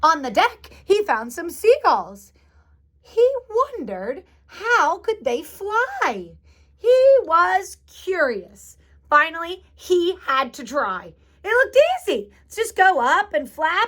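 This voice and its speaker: A woman's squeaky, put-on character voice, extremely high in pitch, with very wide pitch swings, big swings in loudness, and a fairly slow pace. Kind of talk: bedtime story. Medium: read story. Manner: warm, chatty, adds asides.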